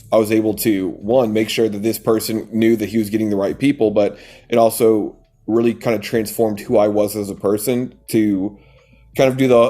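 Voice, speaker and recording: With music in the background, a man of medium pitch talks at a moderate pace in a monotone, flat intonation. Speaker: coaching business owner. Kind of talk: interview.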